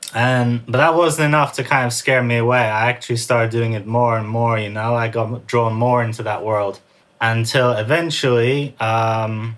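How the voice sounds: A man's medium-pitched voice with a fairly bright tone and fairly even intonation. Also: moderate pace.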